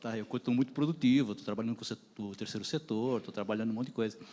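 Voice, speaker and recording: Dark and mellow in tone, a man's voice sits at a medium pitch with ordinary pitch variation. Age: 60s. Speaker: audience member asking a question. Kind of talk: panel Q&A.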